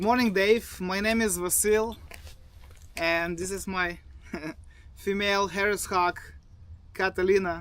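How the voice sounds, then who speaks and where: A man with a Bulgarian accent speaks in a high, monotone, flat voice at a fairly slow pace. He leaves long, frequent pauses. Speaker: falconer, army veteran. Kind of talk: personal story. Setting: outdoors in the desert.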